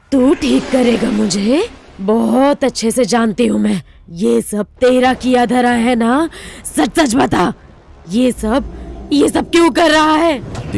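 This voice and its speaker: A woman talks with a high pitch. Her pace is fairly slow. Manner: growling.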